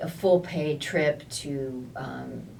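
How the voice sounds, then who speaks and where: Over noticeable background noise, a woman speaks in a very deep, low voice with ordinary pitch variation. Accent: American. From United States. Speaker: voice actor. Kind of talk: interview answer.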